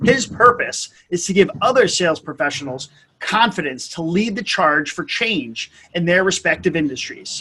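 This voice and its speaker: A man's raised, projected voice, high in pitch, moving at a moderate pace with very wide pitch swings. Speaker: podcast host. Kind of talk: podcast interview host. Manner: casual, upbeat.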